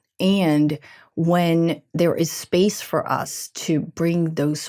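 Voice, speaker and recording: A woman speaks with a Brazilian Portuguese accent. Her pitch is fairly low. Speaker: leadership expert and co-author. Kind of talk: podcast interview.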